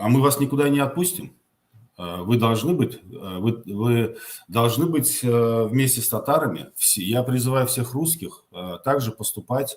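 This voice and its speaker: Speaking with a Tatar accent, a man talks at a fairly slow pace in a somewhat breathy voice with ordinary pitch variation. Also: medium pitch for a man. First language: Tatar (speaking Russian). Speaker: political activist answering viewer questions. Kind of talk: live Q&A answering viewer questions. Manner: halting, many filler sounds.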